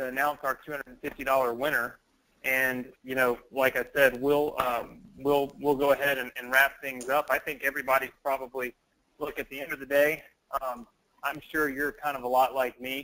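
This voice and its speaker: A man with an American accent speaks in a bright, sharp tone and a flat monotone. His loudness swings widely. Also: medium pitch for a man. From US South. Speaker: online business trainer. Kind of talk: live webinar sales pitch. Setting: live online training call.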